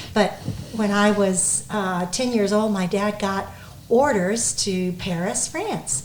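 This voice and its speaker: In a room with audible echo and noticeable background noise, a woman speaks at a very slow pace. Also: medium pitch for a woman, ordinary pitch variation. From United States, Navy family, moved often. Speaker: guest. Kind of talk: casual interview.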